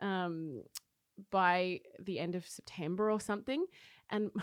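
On a very clean recording with a silent background, a woman with an Australian accent speaks at a medium pitch with ordinary pitch variation. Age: 30s. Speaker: cafe owner and coffee roaster. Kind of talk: casual interview chat. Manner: animated.

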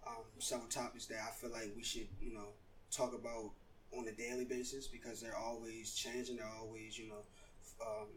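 A man talks very fast in a flat monotone, with audible echo in the room. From Baltimore. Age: young. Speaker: youth podcast host. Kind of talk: scripted intro; interview. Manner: halting, repeats words.

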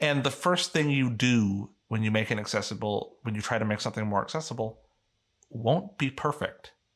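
A man with a Canadian accent speaks at a moderate pace and a medium pitch. He has a normal speaking voice with ordinary pitch variation. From Canada. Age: young. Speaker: accessibility advocate. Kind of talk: interview conversation.

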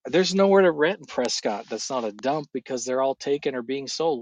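A man with a plain, everyday voice speaks at a moderate pace with ordinary pitch variation, sounding dry and close with no echo over a quiet background. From California. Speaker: guest sharing faith testimony. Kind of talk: casual chat; testimony.

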